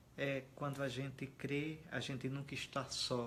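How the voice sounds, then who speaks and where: Somewhat breathy, a man's voice holds a flat, monotone intonation. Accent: strong northeastern Brazilian. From Alagoas, Brazilian Northeast. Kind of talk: interview conversation. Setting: host's home.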